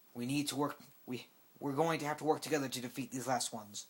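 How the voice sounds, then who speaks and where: A man's put-on character voice, fairly high in pitch, at a very fast pace. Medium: read story. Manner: calm, regal.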